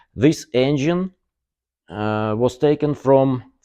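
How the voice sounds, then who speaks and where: A man speaks at a medium pitch with lively intonation and a dark, mellow tone over a quiet background. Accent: Russian. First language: Russian. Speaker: car body workshop owner. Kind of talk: workshop tour video. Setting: workshop. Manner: halting, many fillers.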